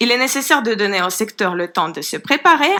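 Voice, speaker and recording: A woman speaks with a Ukrainian accent at a high pitch and a moderate pace. Her tone is bright and sharp, with very wide pitch swings. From Ukraine. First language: Ukrainian (speaking French). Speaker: citizens' panel member. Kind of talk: formal presentation. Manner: hesitant, with fillers.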